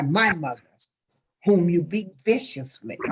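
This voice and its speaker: Her pitch swings very widely as she talks. The woman's voice is somewhat breathy, and her pace is fairly slow. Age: 60s. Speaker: talk show host. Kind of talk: emotional interview talk.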